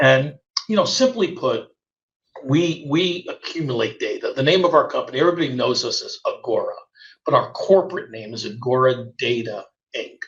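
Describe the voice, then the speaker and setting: With big swings in loudness, a man speaks at a moderate pace. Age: 60s. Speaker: auto finance company executive. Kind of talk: interview. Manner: halting.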